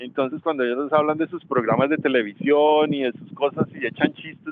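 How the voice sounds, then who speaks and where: Fairly high pitch marks this man's voice. He talks at a fairly quick pace. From Colombia, Ibagué (Tolima). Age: 40s. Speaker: systems engineer. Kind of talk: webinar interview answer. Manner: halting.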